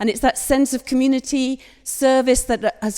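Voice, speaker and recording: Her tone is dark and mellow as the woman talks at a moderate pace. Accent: Hull. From northern England, Hull. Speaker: parliamentary candidate. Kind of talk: campaign speech at hustings. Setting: church hall with audience.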